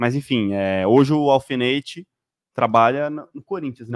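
This man's voice sounds dry, with no echo, against a quiet background. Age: 20s. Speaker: football commentator; show host. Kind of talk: live sports talk show. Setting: studio. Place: studio. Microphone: studio mic.

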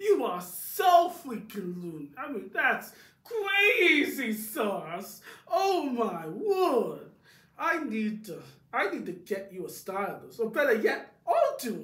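Fairly high and fairly slow, a cartoonish character voice swings very widely in pitch amid audible echo. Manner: exaggerated, dramatic, scornful.

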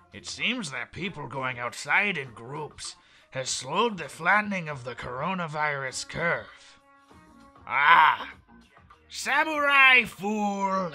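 Over faint background music, a put-on character voice at middle pitch moves at a fairly slow pace. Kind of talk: comic voice impression. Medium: fan dub. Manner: whiny, dramatic.

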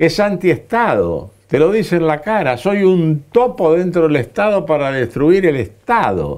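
This man's voice sits high in pitch, with lively intonation and hardly any pauses. He talks at a fairly slow pace over a quiet background. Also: very even loudness. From Argentina. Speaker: veteran party politician; guest. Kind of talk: interview. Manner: animated. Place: studio.

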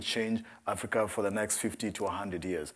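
A man with a Kenyan accent, medium in pitch, at a moderate pace against a quiet background. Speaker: nonprofit co-founder; guest. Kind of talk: panel discussion. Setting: stage with audience. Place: stage. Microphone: lapel.

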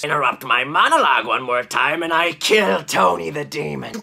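A man does a put-on character voice. He keeps a moderate pace. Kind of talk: comic overacting. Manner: grandiose, menacing monologuing.

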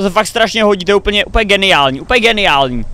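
This man's voice is dry, with no echo, while faint music sits in the background. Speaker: reaction content creator. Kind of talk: reaction commentary. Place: home room.

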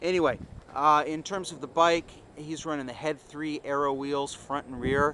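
A man at a moderate pace with fairly even intonation, in a dry sound with no echo and noticeable background noise. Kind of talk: product walkthrough commentary. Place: garden. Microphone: phone near.

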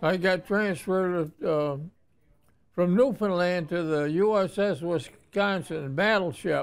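Speaking with an American accent, a man uses a high pitch, fairly even intonation and very even loudness. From Watertown, New York. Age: 90s. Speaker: Navy veteran. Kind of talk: interview answer. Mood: reflective, proud, nostalgic. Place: home room.

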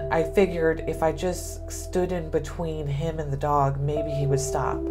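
A woman speaks over clear music in the background. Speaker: guest. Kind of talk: personal story told to students. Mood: serious, emotional recollection. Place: office. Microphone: lapel.

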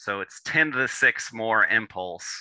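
The sound is dry, with no echo. The background stays quiet. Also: man. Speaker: presenter. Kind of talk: lecture. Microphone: video call.

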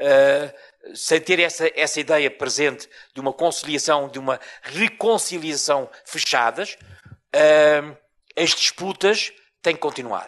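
Over a quiet background, a man with a European Portuguese accent talks at a very slow pace with long, frequent pauses, his fairly high voice showing ordinary pitch variation. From Portugal (born in Mozambique). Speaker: professor. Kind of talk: lecture. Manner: deliberately slow. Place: hall. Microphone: handheld.

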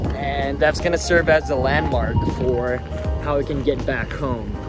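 Over clear music in the background, a man talks at a fairly slow pace, the sound dry with no echo. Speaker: travel vlogger. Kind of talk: casual vlog chat. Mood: upbeat, slightly wry. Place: street. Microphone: phone near.

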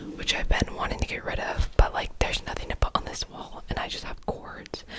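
A woman whispering at a fairly quick pace, with big swings in loudness. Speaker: room tour host. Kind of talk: casual vlog chat. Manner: soft close-mic ASMR speech. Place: home room.

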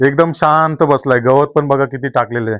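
Over a quiet background, a man speaks in a normal speaking voice with ordinary pitch variation. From Konkan, Ratnagiri district, Maharashtra. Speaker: vlogger. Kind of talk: vlog walkthrough. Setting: outdoors and inside a village house.

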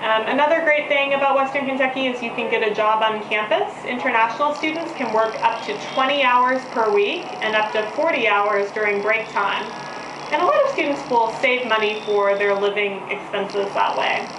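Noticeable background noise runs under a voice with ordinary pitch variation. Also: woman, moderate pace. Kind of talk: promotional talk to prospective students. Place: office. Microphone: camera far.

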